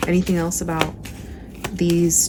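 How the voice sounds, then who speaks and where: Noticeable background noise is present. Through it, a woman speaks. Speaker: tarot reader. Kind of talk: tarot reading to camera. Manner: casual, conversational with filler words.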